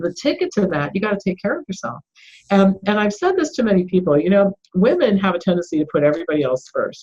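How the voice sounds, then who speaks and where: Very fast and somewhat breathy, the voice has a dark, mellow tone and very wide pitch swings. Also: woman, medium pitch for a woman. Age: 60s. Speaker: doctor and author. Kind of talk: interview.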